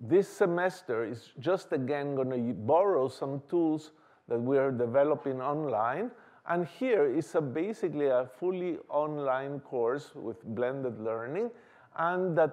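Quiet surroundings, a man talking fairly slowly. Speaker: lecturer. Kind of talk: lecture. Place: hall.

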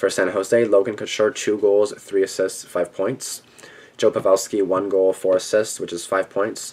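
This man's intonation is monotone and flat. He talks at a moderate pace. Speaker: sports video creator; hockey vlogger. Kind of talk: sports preview commentary. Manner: halting, frequent stuttering; casual. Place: home room. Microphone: webcam.

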